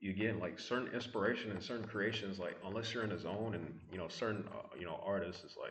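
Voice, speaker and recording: A man's fairly low voice at a very fast pace with hardly any pauses, plus audible room echo and noticeable background noise. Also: fairly even intonation. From mix of US South, Midwest and Brooklyn. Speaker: vlogger. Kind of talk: casual monologue vlog. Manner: rambling with many fillers.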